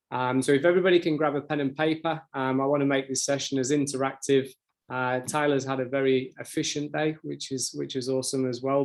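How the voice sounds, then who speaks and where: Fairly high-pitched for a man, this male speaker talks with a British accent in a monotone, flat intonation. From UK. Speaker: sales account manager. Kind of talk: webinar presentation. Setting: online webinar. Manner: fast.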